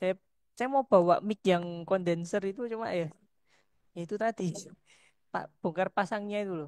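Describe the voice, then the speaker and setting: A woman at a moderate pace with long, frequent pauses and ordinary pitch variation, dry and close with no echo. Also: medium pitch for a woman. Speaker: lecturer. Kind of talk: lecture. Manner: soft-spoken. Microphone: headset, sound too quiet.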